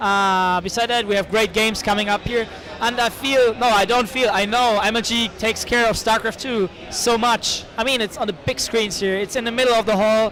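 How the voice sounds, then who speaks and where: Crowd noise fills the background as a man with a German accent speaks fairly quickly in a high pitch with fairly even intonation. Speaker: esports caster and tournament organizer. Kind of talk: interview. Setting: event hall with crowd. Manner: halting. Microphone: poor audio quality.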